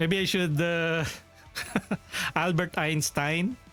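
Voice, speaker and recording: A man at a very slow pace with music in the background. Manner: tired, low energy, joking.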